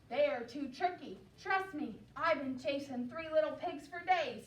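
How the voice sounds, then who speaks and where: Putting on a character voice, a woman talks in a high pitch at a moderate pace. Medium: read story. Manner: smooth, ingratiating.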